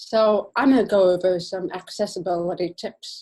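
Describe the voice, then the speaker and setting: A woman talks in a somewhat breathy voice. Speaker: accessibility specialist. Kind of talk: presentation.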